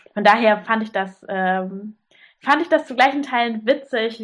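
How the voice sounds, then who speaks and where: Her pitch rises and falls in an ordinary way. The woman speaks at a very slow pace. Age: 20s. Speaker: sewing blogger. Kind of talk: podcast interview.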